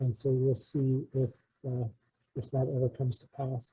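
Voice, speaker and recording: A quiet, somewhat breathy man's voice at medium pitch, dark and mellow in tone, with monotone, flat intonation. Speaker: community emergency preparedness presenter. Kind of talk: community presentation. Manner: hesitant, many fillers (uh); quiet, volume drifts. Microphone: too quiet.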